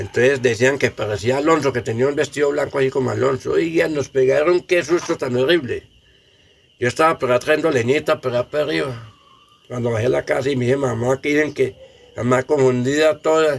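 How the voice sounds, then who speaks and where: This is a normal speaking voice at a fairly quick pace. The pitch varies in an ordinary way. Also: man, medium pitch for a man. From Colombia, Samaná, Caldas. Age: 60s. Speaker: elderly villager sharing memories. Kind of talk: oral history testimony.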